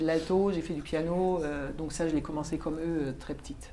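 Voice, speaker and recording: A woman with a German accent speaks in a dark, mellow tone. Her delivery is monotone and flat at a moderate pace. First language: German (speaking French). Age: 50s. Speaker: opera singer and German teacher. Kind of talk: classroom Q&A.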